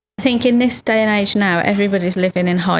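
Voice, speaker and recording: A woman with a British accent speaks at a moderate pace. The sound is dry and close, with no echo. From United Kingdom. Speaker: lawyer and human rights activist. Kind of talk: podcast interview answer.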